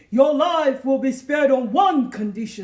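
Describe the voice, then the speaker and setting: A man bellows in a put-on character voice at an extremely high pitch. His pace is moderate. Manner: roaring, fierce, commanding.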